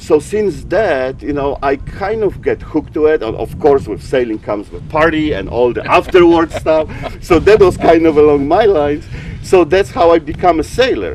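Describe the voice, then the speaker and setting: A man with a Polish accent, fairly high in pitch, at a moderate pace with lively intonation, amid noticeable background noise. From Poland, small mountain town. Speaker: sailing photographer. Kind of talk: interview. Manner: halting, repeats words.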